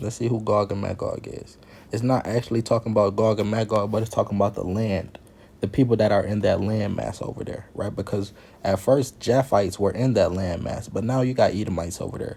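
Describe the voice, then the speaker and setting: Here a man talks at a fairly quick pace in a plain, everyday voice. His pitch is fairly low and his intonation fairly even. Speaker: Bible teacher. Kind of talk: Bible teaching.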